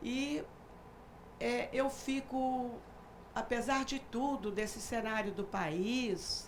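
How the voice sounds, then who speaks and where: Amid noticeable background noise and audible room echo, a woman speaks very slowly at a high pitch with ordinary pitch variation. She leaves long, frequent pauses. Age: 60s. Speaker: retired university professor and businesswoman. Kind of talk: TV talk show discussion. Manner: halting, many fillers.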